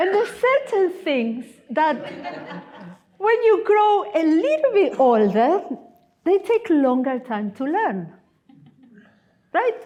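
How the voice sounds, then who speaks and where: A woman with an Argentine accent speaks at a very slow pace, leaving long, frequent pauses. Her pitch is extremely high and swings very widely. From Argentina. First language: Spanish. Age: 50s. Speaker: guest preacher, missionary. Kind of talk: sermon. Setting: church.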